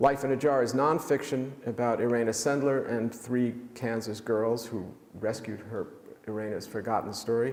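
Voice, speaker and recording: A man with a New York accent speaks at a medium pitch. His pace is moderate and his pitch variation is ordinary. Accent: New York American. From US Northeast, New York City (Manhattan). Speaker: author and pediatrician. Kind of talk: book talk presentation. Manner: halting, many fillers.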